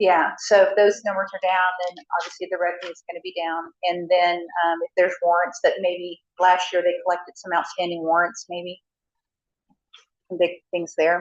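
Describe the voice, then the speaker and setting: A woman with an American accent speaks in a fairly low pitch and a monotone, flat intonation. Her loudness swings widely. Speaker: city finance staff. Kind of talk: council meeting report. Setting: city council meeting. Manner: fast; many filler ums.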